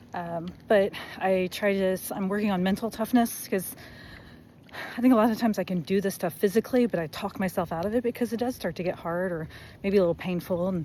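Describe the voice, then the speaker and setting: Soft-spoken, a woman talks at a fairly quick pace and medium pitch. Her tone is dark and mellow, with ordinary pitch variation. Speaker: amateur runner vlogger. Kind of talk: casual vlog monologue. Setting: outdoors running by road.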